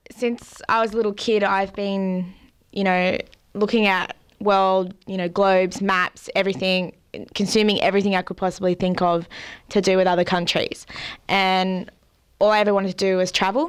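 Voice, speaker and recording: A woman's medium-pitched voice in an Australian accent, monotone and flat, at a moderate pace on a very clean recording with a silent background. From Australia, Central Coast NSW. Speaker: artist and traveller. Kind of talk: interview.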